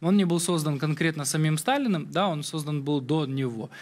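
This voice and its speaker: The speaker is a man with a fairly quick pace. Ordinary variation marks his pitch. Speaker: news show host. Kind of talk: interview question. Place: studio. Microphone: lapel.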